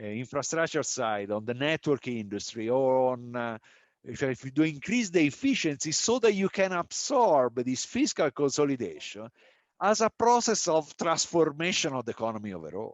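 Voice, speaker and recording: The speaker has an Italian accent and a moderate pace. The pitch swings very widely. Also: man, fairly high pitch for a man. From Italy. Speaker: economist, panel discussant. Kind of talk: panel discussion. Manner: halting, many fillers and restarts.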